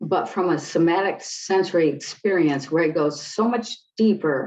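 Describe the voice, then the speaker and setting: A woman with an American accent has an unremarkable speaking voice at a fairly low pitch. Her intonation is lively. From US Midwest, Detroit. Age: 60s. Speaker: clinical psychologist and spiritual teacher. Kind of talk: interview.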